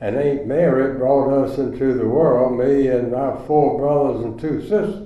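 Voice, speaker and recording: Over noticeable background noise, a man with an American accent talks at a fairly slow pace with hardly any pauses. His pitch is fairly high and varies in an ordinary way. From US South, rural Chatham County, North Carolina. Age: 90s. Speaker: retirement community resident. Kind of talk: storytelling.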